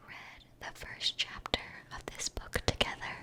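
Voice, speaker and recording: Someone whispers over noticeable background noise. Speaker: English teacher, ASMR creator. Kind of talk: educational vocabulary lesson and whispered book reading. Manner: whispered, soft-spoken.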